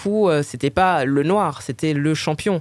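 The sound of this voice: Speaking with a Parisian accent, a woman talks at a fairly slow pace with ordinary pitch variation.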